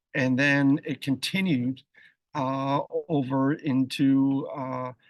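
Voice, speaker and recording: In a quiet background, a man with an American accent is heard with a dry, close sound and no echo. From United States. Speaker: marketing executive. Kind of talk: webinar interview. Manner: halting, repeats words.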